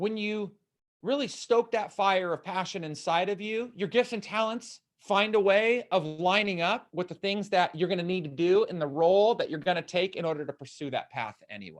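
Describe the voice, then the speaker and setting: Loud and high-pitched, a man's voice comes through. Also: quiet background. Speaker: motivational speaker and coach. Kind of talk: live-streamed Q&A talk. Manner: animated.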